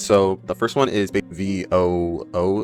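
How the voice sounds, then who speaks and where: A man's very deep, low voice is heard with music in the background. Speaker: student. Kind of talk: casual explainer talk to camera. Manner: casual, conversational.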